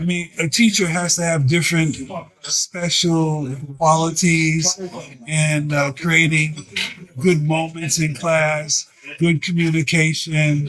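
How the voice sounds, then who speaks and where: A man talks with an American accent at a very slow pace. His intonation is monotone and flat, with noticeable background noise. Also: fairly high pitch for a man. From US Northeast, Harlem New York. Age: 70s. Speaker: martial arts teacher. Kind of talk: interview. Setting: crowded restaurant.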